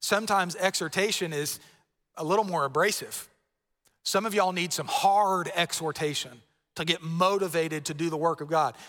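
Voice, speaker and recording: The recording is very clean, with a silent background. A man with an American accent speaks at a high pitch in a bright, sharp tone. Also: ordinary pitch variation. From Florida. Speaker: pastor. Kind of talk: sermon. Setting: church.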